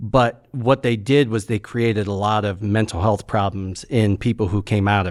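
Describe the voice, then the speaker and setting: An ordinary speaking voice at a moderate pace, recorded very cleanly against a silent background. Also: man. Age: 40s. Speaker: podcast host. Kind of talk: casual chat.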